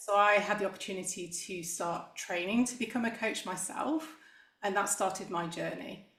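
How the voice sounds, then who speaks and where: A medium-pitched woman's voice with an English accent, ordinary pitch variation and a moderate pace, plus audible room echo. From England, Manchester area. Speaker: executive coach. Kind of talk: interview.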